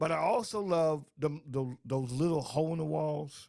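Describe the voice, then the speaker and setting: Fairly high in pitch with ordinary pitch variation, the man has an unremarkable speaking voice. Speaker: radio DJ. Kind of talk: radio interview host, casual.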